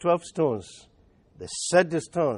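With a Nigerian accent, a man speaks at a moderate pace and a fairly high pitch, the sound dry and close with no echo over a quiet background. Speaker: pastor. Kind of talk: sermon. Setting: church.

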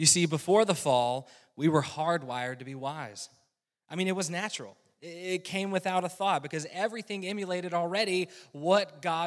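In a very clean recording with a silent background, a man talks at a moderate pace in a high pitch with ordinary pitch variation. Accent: Southern US. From US South, rural North Carolina. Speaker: lay preacher, weatherman by trade. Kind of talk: sermon. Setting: church.

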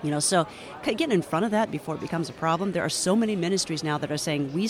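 A woman's fairly low voice, with ordinary pitch variation, comes through noticeable background noise. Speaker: news producer and anchor. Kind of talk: interview.

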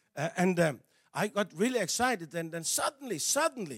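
Speaking in a Danish accent at a moderate pace, the voice has an animated tone and very wide pitch swings in a dry, close sound with no echo. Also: man. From Denmark. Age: 60s. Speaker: evangelist and missionary. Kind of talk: sermon. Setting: church. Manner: halting.

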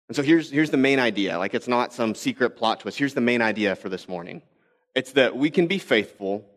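Here a man with an American accent talks at a very fast pace. His medium-pitched voice has lively intonation. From Texas. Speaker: pastor. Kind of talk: sermon. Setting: church.

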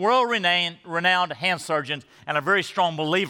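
A man's high-pitched, bright, sharp voice moves at a very fast pace with ordinary pitch variation, in a very clean recording with a silent background. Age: 60s. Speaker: pastor. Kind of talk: sermon. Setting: church service.

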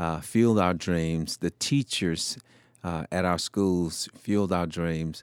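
A man with a Southern US accent speaks very slowly in a very deep, low voice with ordinary pitch variation, recorded very cleanly against a silent background with a dry, close sound and no echo. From US South, Shreveport, Louisiana. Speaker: former fire chief and speaker. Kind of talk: interview testimony.

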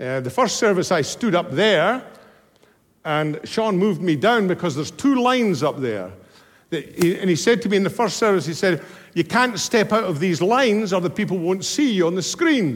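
A man speaks at a moderate pace in a high voice. His intonation is lively. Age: 70s. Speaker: guest preacher. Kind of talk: sermon. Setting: stage with audience. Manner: animated.

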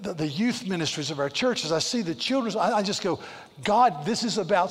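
A natural reading voice carries lively intonation.

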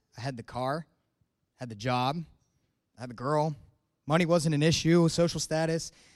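In a very clean recording with a silent background, a man with a fairly high pitch and ordinary pitch variation speaks at a moderate pace, with long, frequent pauses and big swings in loudness. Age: 20s. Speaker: air force officer giving church testimony. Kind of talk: testimony. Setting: church stage with congregation.

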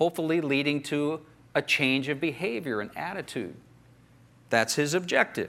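Bright and sharp in tone, a man with a fairly high pitch speaks at a moderate pace with ordinary pitch variation and long, frequent pauses. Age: 50s. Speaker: pastor. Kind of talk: sermon.

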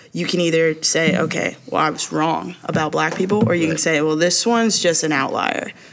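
A woman's fairly low voice at a fairly quick pace, with hardly any pauses, ordinary pitch variation and noticeable background noise. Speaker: recent graduate and church member. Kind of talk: casual chat.

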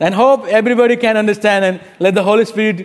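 Over noticeable background noise, a man with a Nepali accent speaks at a high pitch. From Bhutan, raised in Nepal. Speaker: pastor. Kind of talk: sermon. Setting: church.

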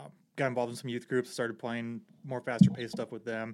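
A man with an American accent and an unremarkable speaking voice, medium pitch, ordinary pitch variation, and a very clean recording with a silent background. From Portage, Indiana. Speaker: police dispatcher and church musician. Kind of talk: casual chat.

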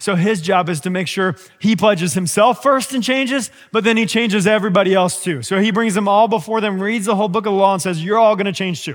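Over background music, a man talks at a very fast pace with an animated tone. His voice is high, with ordinary pitch variation. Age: 30s. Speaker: pastor. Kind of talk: sermon.

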